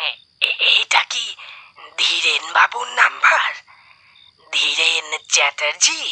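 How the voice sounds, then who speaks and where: This man puts on a character voice pitched extremely high. He talks at a fairly slow pace. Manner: hesitant, stammering.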